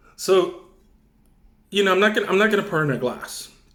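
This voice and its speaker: A man's voice with audible room echo. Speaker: wine reviewer YouTuber. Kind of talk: casual wine tasting vlog. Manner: loud, near shouting.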